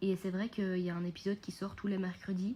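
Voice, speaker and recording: In a medium pitch, a woman speaks at a moderate pace with a dark, mellow, somewhat breathy tone and monotone, flat intonation. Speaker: podcast host and mindset coach. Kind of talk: unscripted podcast monologue. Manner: calmer and quieter than usual; hesitant, many fillers.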